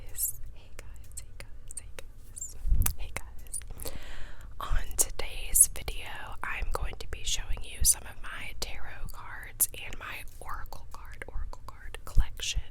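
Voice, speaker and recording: Whispering very slowly, a woman swings widely in loudness over noticeable background noise. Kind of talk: ASMR whisper ramble showing tarot cards. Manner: whispered.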